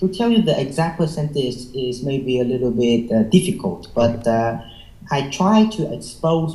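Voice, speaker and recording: A Vietnamese accent at a fairly slow pace. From Vietnam, Hanoi. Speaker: IELTS test taker. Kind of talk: interview. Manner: halting, many fillers.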